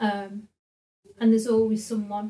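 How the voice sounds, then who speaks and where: The woman's voice is fairly high and somewhat breathy, with a dark, mellow tone. Her intonation stays flat and monotone. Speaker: social work team manager. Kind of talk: interview.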